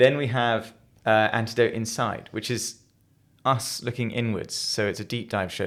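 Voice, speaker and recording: This is a very clean recording with a silent background. On it, a man talks with a London accent. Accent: English (London area). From England. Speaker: podcast host, company CEO. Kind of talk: casual podcast chat.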